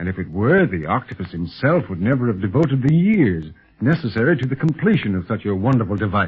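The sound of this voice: Putting on a character voice, a man speaks fairly fast at a fairly low pitch with a husky, rough edge and big pitch swings.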